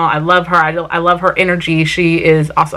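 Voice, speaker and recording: A woman with a South Carolina accent speaks at a moderate pace in a fairly low voice with a bright, sharp tone. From Vermont, US. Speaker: family vlogger. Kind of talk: casual Q&A vlog talk. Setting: sit-down home video.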